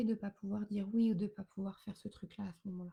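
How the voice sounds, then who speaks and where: Somewhat breathy and dark, mellow in tone, a woman talks at a very fast pace. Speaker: wellness coach. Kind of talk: live stream talk. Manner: hesitant fillers.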